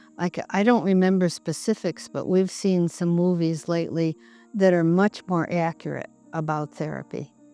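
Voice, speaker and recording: Woman with a fairly low pitch and fairly even intonation, music playing in the background. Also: moderate pace. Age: 80s+. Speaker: psychotherapist. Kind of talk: interview.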